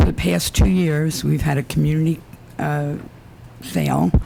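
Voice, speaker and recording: A soft-spoken voice at a fairly slow pace, with noticeable background noise. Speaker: resident speaking at public comment. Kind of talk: public comment at council meeting. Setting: town council meeting with microphone. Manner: hesitant, many fillers.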